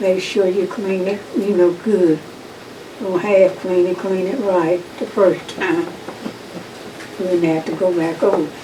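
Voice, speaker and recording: Over noticeable background noise, a woman with a North Carolina accent speaks very slowly at a medium pitch, monotone and flat, with long, frequent pauses. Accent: Southern US, North Carolina. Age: 80s+. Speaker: family elder interviewed. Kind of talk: oral history interview. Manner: halting.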